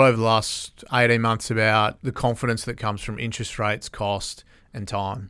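A man with an Australian accent speaks at a moderate pace and medium pitch, his tone bright and sharp, his loudness swinging widely, on a very clean recording with a silent background. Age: 40s. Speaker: construction industry association executive. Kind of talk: interview. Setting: studio.

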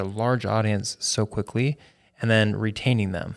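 A man speaks in a plain, everyday voice at a medium pitch and moderate pace, with ordinary pitch variation. The recording is very clean, with a silent background. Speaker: podcast host. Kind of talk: interview. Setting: studio.

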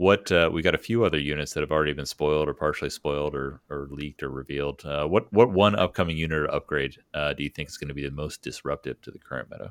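With vocal fry and a very deep, low pitch, a man rushes along at a very fast pace with hardly any pauses, ordinary pitch variation and big swings in loudness, in a dry, close sound with no echo. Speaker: podcast host. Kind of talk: casual interview chat.

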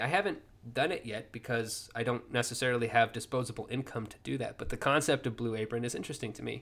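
A man with a plain, everyday voice, medium pitch and a fairly quick pace. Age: 30s. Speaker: podcast host and indie fiction writer. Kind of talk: casual solo ramble monologue.

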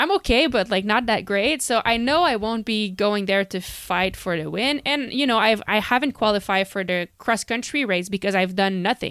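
Here is a woman with an unremarkable speaking voice, fairly high in pitch with ordinary pitch variation. She keeps a moderate pace with hardly any pauses. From Canada. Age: 30s. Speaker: professional cyclist. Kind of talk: casual interview. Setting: remote call.

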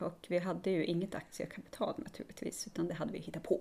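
This woman's voice sits at a medium pitch. Its tone is dark and mellow. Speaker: small business owner, soap maker. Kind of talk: casual interview chat.

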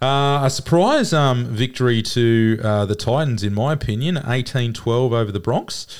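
A man with an Australian accent at medium pitch, with hardly any pauses, on a very clean recording with a silent background. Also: ordinary pitch variation, moderate pace, very even loudness. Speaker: sports podcast co-host. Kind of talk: casual chat.

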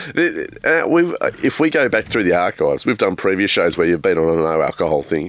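Moderate pace with hardly any pauses and very even loudness. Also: man. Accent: Australian. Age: 40s. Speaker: podcast co-host. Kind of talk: casual chat. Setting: studio.

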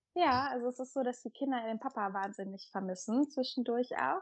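A woman talks at a fairly high pitch. Her pitch variation is ordinary. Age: 30s. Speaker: mother of three, community member. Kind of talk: interview.

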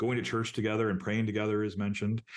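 Here a man speaks with an American accent. The background is quiet. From rural Wisconsin, US Midwest. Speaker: professor and author. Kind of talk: interview conversation.

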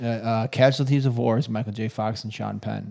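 On a very clean recording with a silent background, a man talks fairly quickly at medium pitch in a dark, mellow tone. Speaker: recurring podcast guest. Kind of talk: casual chat.

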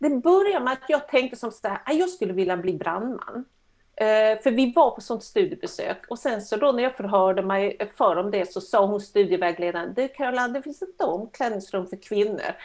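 Very wide pitch swings mark a woman's speech at a moderate pace. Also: fairly high pitch for a woman. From Sweden. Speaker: coach. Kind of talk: interview.

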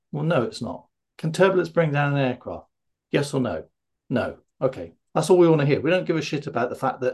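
A somewhat breathy man speaks fairly quickly at a fairly high pitch with ordinary pitch variation. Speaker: fear of flying coach and podcast host. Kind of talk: casual interview.

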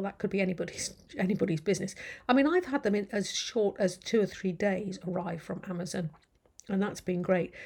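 A woman with an English accent speaks at a moderate pace and medium pitch. Her tone is dark, mellow and somewhat breathy, with fairly even intonation. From England. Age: 50s. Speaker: podcast host, indie fantasy author. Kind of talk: casual interview chat. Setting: video call.

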